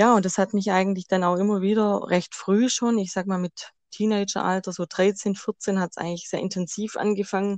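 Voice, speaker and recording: The delivery is monotone and flat at a moderate pace. The sound is dry and close with no echo, over a quiet background. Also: woman. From Swabia, Germany. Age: 30s. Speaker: tarot card reader. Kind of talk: interview.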